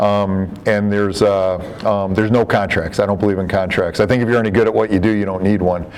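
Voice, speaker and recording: Over noticeable background noise and audible room echo, a man talks at a very fast pace in a fairly low pitch with monotone, flat intonation. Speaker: software developer and trainer, former real estate broker. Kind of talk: software training presentation. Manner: filler-heavy, many repetitions.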